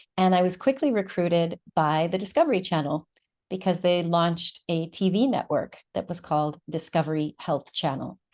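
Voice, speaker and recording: A woman speaks in a normal speaking voice, fairly low in pitch, with an American accent. Her pace is moderate and her pitch varies in an ordinary way. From United States. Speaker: doctor and therapist. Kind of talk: interview.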